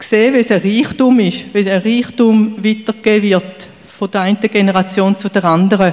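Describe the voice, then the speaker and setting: At a fairly slow pace, a woman with a fairly high pitch talks over noticeable background noise. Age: 60s. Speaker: church member. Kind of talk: testimony.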